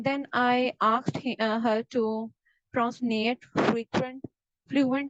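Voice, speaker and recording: A woman with a Pakistani accent speaks at a fairly high pitch with fairly even intonation, in a dry, close sound with no echo. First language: Urdu. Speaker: exam practice student. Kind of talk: mock speaking exam. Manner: halting, many fillers.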